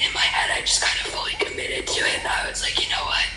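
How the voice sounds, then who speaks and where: A woman is whispering. Noticeable background noise and audible room echo are present. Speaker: former competitive figure skater. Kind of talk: interview. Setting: podcast.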